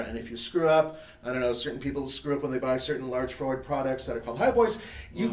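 A man talks at a very fast pace with audible room echo around him. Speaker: show host. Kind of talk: live show discussion. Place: garage.

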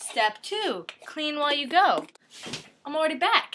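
A woman uses a raised, projected voice. Her pace is fairly slow. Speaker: comedy cooking vlogger. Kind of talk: casual comedic cooking chat. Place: kitchen. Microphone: webcam.

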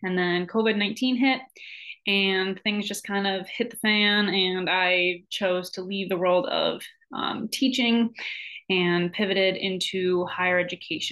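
Against a quiet background, a woman with an American accent speaks at a medium pitch with fairly even intonation. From Michigan. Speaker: graduate student and college advisor. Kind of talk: self-introduction video. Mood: friendly, relaxed. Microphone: webcam.

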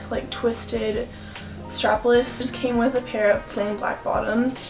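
Clear music plays in the background as a woman with a high voice speaks at a fairly slow pace with ordinary pitch variation. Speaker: fashion vlogger. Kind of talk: casual vlog chat. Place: home room.

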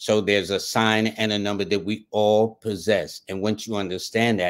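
The background is quiet as a man speaks in a fairly low pitch. His intonation stays monotone and flat. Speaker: interview guest. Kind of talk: interview answer. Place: home room.

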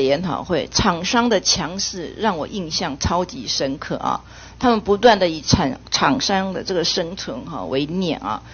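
A woman with an unremarkable speaking voice talks at medium pitch and a fairly slow pace. Her intonation is lively and she hardly pauses at all. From Taiwan. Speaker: legislator. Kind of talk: parliamentary questioning. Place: meeting room. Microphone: podium.

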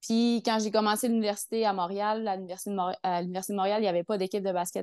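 Against a quiet background with a dry sound and no echo, a woman speaks at a moderate pace with fairly even intonation. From Quebec, Lac-Saint-Jean. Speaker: triathlete and physiotherapist. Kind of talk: casual interview. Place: home room. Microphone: earbuds.

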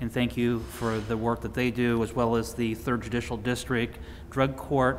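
A medium-pitched man at a moderate pace. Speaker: county commissioner. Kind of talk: public meeting.

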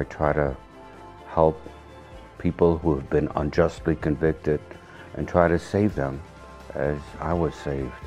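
Speaking at a fairly slow pace with long, frequent pauses, a man with a very deep, low pitch keeps his intonation fairly even while faint music plays in the background. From Hungary. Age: 70s. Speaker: Holocaust survivor and lawyer. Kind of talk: personal testimony interview answer. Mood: solemn, emotional. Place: home room.

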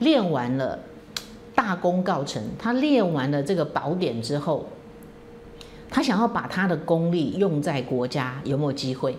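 Under light background noise, a woman speaks at a fairly slow pace in a fairly low pitch with very wide pitch swings. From Taiwan. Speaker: political commentary host; political commentator, lawyer. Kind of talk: solo commentary monologue; political commentary monologue. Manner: frequent fillers (哈, 啊). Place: home room.

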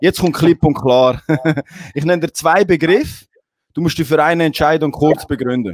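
At a moderate pace and fairly high pitch, a man with a Swiss accent speaks in an animated tone, taking long, frequent pauses, with a dry sound free of echo and a quiet background. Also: ordinary pitch variation. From Switzerland. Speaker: talk show host. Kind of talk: casual chat. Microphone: handheld.

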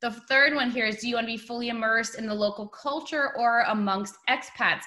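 Against a quiet background, a woman with an American accent talks very fast at a fairly high pitch, her tone bright and sharp and her pitch varying in an ordinary way. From New York. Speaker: webinar host for overseas property company. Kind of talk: webinar presentation. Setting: video call. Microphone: webcam.

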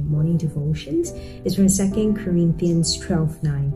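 Clear music plays in the background. A woman talks at a fairly low pitch. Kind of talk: spoken prayer. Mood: calm, reverent. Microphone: webcam.

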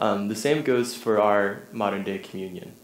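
Audible room echo surrounds a man speaking at a fairly low pitch with ordinary pitch variation. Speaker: preacher. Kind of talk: sermon. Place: church.

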